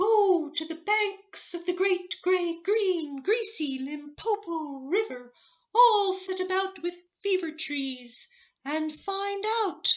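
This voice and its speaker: A squeaky, put-on character voice at an extremely high pitch, spoken at a very slow pace. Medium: read story. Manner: mournful.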